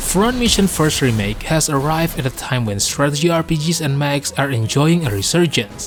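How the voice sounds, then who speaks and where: A man speaks with a fairly high pitch and lively intonation. Music plays in the background. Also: hardly any pauses. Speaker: gaming video host. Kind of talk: game review narration.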